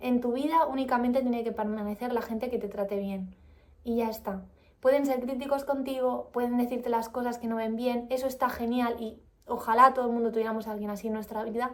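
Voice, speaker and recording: A high-pitched woman speaks in a calm tone at a moderate pace, her intonation monotone and flat. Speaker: vlogger. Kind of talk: book review vlog.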